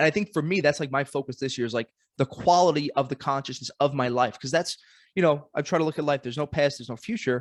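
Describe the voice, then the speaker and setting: In a Brooklyn accent, a man talks very fast with a fairly high pitch and ordinary pitch variation, the sound dry and close with no echo against a quiet background. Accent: New York (Brooklyn). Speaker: podcast host. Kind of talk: casual chat.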